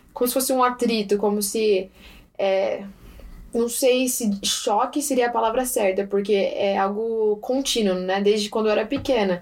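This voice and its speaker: This is an ordinary speaking voice, moving at a fairly slow pace with fairly even intonation. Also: woman, fairly high pitch for a woman. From Japan and Brazil. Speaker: guest interviewee. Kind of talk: casual interview.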